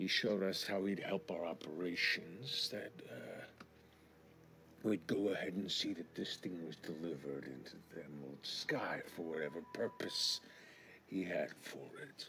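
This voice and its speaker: With clear background noise behind him, a man puts on a character voice, very deep and low in pitch, at a moderate pace. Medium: actual play. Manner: casual, unbothered.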